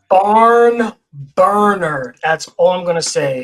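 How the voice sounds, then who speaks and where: A man with a New York accent, very slow in pace, with ordinary pitch variation. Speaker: motorsport podcast co-host. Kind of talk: casual chat.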